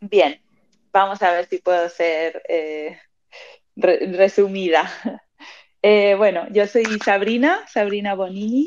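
The speaker goes at a very slow pace with long, frequent pauses. Pitch variation is ordinary. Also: woman, medium pitch for a woman. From Spain, Madrid (born in Argentina). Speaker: artist and founder of an NFT art community. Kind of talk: casual interview chat. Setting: live audio space on social media.

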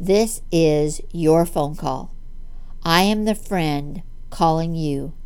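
The voice moves at a very slow pace with ordinary pitch variation. Its tone is warm. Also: woman, fairly low pitch for a woman. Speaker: weight loss coach. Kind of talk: testimony turned sales pitch; upbeat motivational pep talk. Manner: animated, encouraging; warm, persuasive, direct address.

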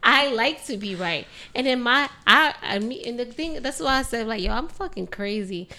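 A woman with a New York accent talks at a moderate pace in a high, bright, sharp voice with lively intonation. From New York City. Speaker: makeup artist. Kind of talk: casual chat.

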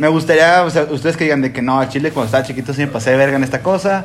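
Noticeable noise sits behind a man talking at a very fast pace with a Mexican accent. His pitch is fairly high, with ordinary variation. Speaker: podcast host. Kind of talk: casual chat. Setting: home.

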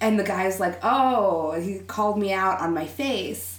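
A woman's somewhat breathy voice carries an American accent. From Texas. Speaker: interview guest. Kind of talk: casual chat. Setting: studio.

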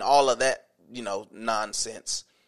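In an animated tone, a man speaks at a fairly slow pace on a very clean recording with a silent background. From US South. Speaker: podcast host. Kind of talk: casual chat. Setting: home, on a couch.

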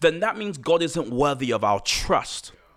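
An animated man with vocal fry and very wide pitch swings, on a very clean recording over a silent background. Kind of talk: casual chat.

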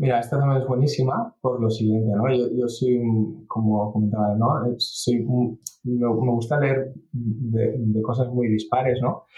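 At a fairly slow pace, a man speaks with a medium pitch, a somewhat breathy voice, monotone, flat intonation and very even loudness. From England. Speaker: startup CEO and software engineer. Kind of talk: interview. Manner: halting.

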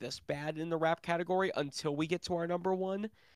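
A man's fairly high voice at a very fast pace, dry and close with no echo. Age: 20s. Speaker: podcast co-host. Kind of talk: casual chat.

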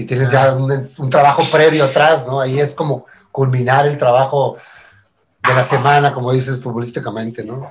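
The man talks at a moderate pace and medium pitch, somewhat breathy, with monotone, flat intonation. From Tijuana, Mexico. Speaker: musician. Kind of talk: casual chat.

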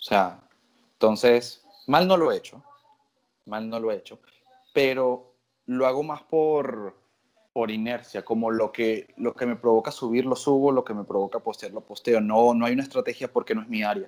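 This is a normal speaking voice from a man at medium pitch. He talks at a moderate pace with ordinary pitch variation. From Venezuela. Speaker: tattoo artist. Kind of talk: interview.

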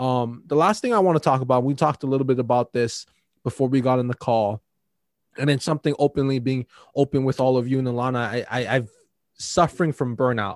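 A man speaks very fast at a medium pitch with ordinary pitch variation. The sound is dry and close, with no echo. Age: 20s. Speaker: podcast host. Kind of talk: casual chat.

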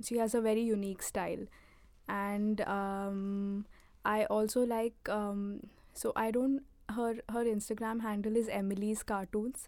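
A soft-spoken woman's fairly high voice at a fairly slow pace, with monotone, flat intonation and very even loudness, in a very clean recording with a silent background. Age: 20s. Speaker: comic artist. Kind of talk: interview. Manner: halting.

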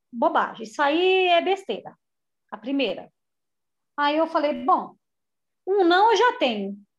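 A woman at an extremely high pitch with very wide pitch swings, a fairly slow pace, long and frequent pauses and very even loudness over a quiet background. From São Paulo city (Butantã). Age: 40s. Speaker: manicure, therapy client. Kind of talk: personal testimony in a therapy conversation.

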